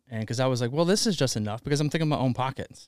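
In a very clean recording with a silent background, a man with an American accent talks at a very fast pace, his medium pitch showing ordinary variation. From US South, Alabama. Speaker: fitness entrepreneur and coffee brand founder. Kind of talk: casual chat. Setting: warehouse studio.

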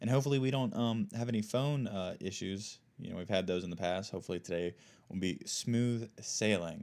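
On a very clean recording with a silent background, a man with an American accent speaks at a fairly quick pace, fairly low in pitch, with ordinary pitch variation. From United States. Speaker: podcast host. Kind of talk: casual chat; reading aloud. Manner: halting.

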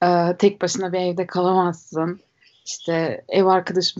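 A woman speaks with a slight German accent. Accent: slight German melody in Turkish. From Germany. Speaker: podcast guest. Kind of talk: casual chat.

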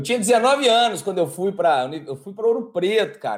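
Talking very fast with lively intonation, a man speaks at a high pitch. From Brazil, Minas Gerais (Araxá). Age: 40s. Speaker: environmental consultant. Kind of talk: casual interview chat. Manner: animated, with frequent repetitions and fillers.

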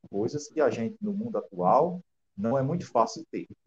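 The man's voice is somewhat breathy, with very wide pitch swings. He talks at a moderate pace. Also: dry, close sound with no echo. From Rio Grande do Norte interior, Brazil. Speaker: author and teacher. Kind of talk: interview.

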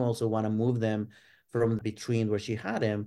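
On a very clean recording with a silent background, a man speaks with a Spanish accent at a fairly quick pace. His voice has a dark, mellow tone and a medium pitch. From Mexico, Ciudad Juarez. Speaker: art professor. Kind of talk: interview.

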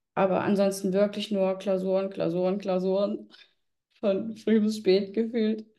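Monotone, flat intonation and very even loudness go with a dark, mellow tone in this voice. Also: woman, medium pitch for a woman. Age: 20s. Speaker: tax exam candidate. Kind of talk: interview.

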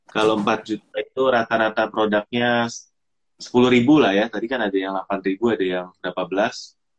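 A man with an unremarkable speaking voice, medium in pitch, fairly quick in pace, fairly even in intonation, in a dry, close sound with no echo. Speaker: podcast host. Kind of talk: casual chat, live stream interview. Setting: live stream, online. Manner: friendly, conversational.

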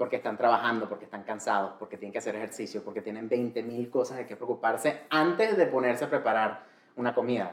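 A man at a very fast pace, with ordinary pitch variation and big swings in loudness. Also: medium pitch for a man. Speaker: culinary and medical cannabis specialist. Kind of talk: casual interview chat. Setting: in person, sitting together. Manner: Spanish with frequent switches into English.

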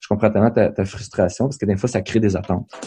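A man speaks at a very fast pace. His tone is dark and mellow, his pitch fairly low. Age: 30s. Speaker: podcast host, youth ministry leader. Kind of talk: casual chat.

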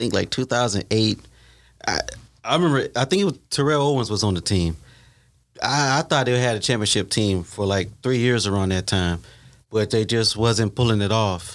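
A man with an American accent and a plain, everyday voice speaks at a medium pitch and moderate pace with ordinary pitch variation, on a very clean recording with a silent background. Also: very even loudness. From Ohio. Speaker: football fan panelist. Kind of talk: casual sports chat.

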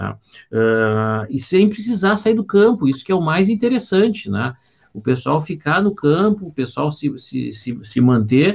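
This man's voice is fairly high in pitch and somewhat breathy. His pitch swings very widely. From southern Brazil, Porto Alegre. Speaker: business consultant, podcast co-host. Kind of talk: casual chat. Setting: live stream.

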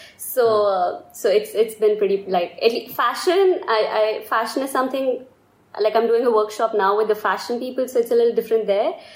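A woman talks at a moderate pace, her fairly high voice showing ordinary pitch variation. Noticeable noise runs in the background. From India. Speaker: design student. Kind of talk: casual chat.

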